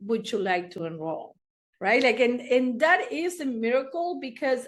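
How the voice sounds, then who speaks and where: A woman speaks in a high pitch with a Spanish accent. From Argentina, Buenos Aires. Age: 60s. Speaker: therapist. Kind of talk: interview storytelling.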